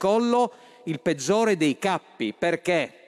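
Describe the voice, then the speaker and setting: The background is quiet. A man talks in a high-pitched voice. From Friuli Venezia Giulia, Italy. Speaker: politician, member of parliament. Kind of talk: parliamentary speech. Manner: halting, with many fillers. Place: hall. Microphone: podium.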